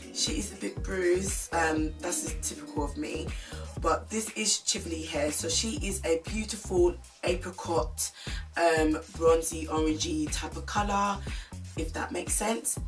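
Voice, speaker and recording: A woman with a British accent speaks with music in the background. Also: fairly slow pace. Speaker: beauty vlogger. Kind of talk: casual talk to camera.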